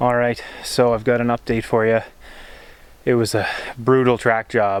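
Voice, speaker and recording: This man talks in a monotone with flat intonation and very even loudness. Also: medium pitch for a man, moderate pace. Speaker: hunter. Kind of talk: outdoor vlog narration. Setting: outdoors in the woods.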